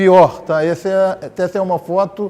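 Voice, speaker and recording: A man talks at a high pitch while noticeable background noise fills in behind him. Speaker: former education official. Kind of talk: panel debate. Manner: halting.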